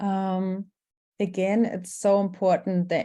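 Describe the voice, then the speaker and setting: With a German accent and a dark, mellow tone, a woman talks at a very slow pace. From Germany. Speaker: workshop facilitator. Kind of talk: workshop presentation. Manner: hesitant, many fillers.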